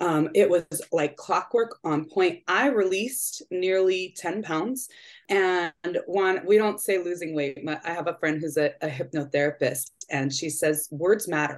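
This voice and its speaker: A woman with a plain, everyday voice speaks at a fairly slow pace, her fairly low pitch showing ordinary variation. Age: 40s. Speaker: program participant. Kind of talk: casual chat.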